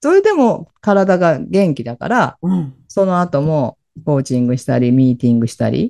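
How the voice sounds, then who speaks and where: With very wide pitch swings, a woman's very deep, low voice carries a dark, mellow tone at a moderate pace. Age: 60s. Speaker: empowerment coach and radio host. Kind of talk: casual chat.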